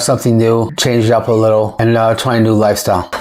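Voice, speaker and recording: A man speaks very quickly, with noticeable noise in the background. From New Jersey. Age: 60s. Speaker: guest on local community show. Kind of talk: casual interview.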